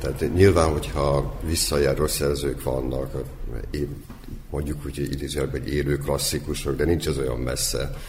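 Noticeable background noise and audible room echo surround a man's voice. He speaks at a moderate pace with a very deep, low pitch. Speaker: literary magazine editor. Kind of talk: radio panel discussion.

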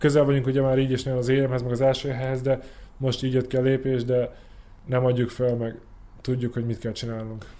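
Speaking fairly quickly, a man with a dark, mellow tone keeps a medium pitch and a flat, monotone intonation. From Subotica, Serbia. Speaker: Olympic rower. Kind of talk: interview.

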